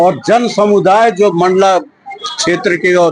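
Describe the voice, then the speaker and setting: The man speaks with fairly even intonation. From Mandla, Madhya Pradesh, India. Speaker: local resident. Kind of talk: interview.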